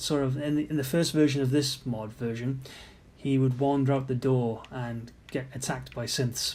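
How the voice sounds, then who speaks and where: With a British accent, a man speaks at a moderate pace and fairly even intonation amid audible room echo. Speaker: game modder commenting on own mod. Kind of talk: gameplay commentary. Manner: casual, halting.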